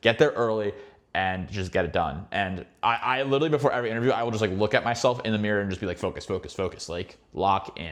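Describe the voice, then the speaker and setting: A man talks very fast with an American accent and an animated tone. His voice is fairly low, with ordinary pitch variation, over a quiet background. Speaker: finance YouTuber giving career advice. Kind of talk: casual advice monologue.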